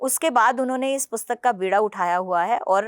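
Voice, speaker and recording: A woman talks at a moderate pace in a fairly high voice with ordinary pitch variation. The recording is very clean and dry, with a silent background, a close sound and no echo. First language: Punjabi (speaking Hindi). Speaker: political party spokesperson and translator. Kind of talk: interview.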